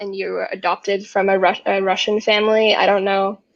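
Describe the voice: In a British accent, a woman talks at a mid-range pitch.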